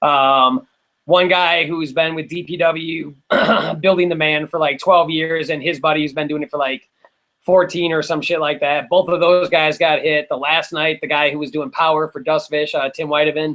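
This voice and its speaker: An unremarkable speaking voice belongs to a man with an American accent. He pitches fairly high. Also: moderate pace. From Wisconsin, US. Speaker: electronic music producer. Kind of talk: casual chat.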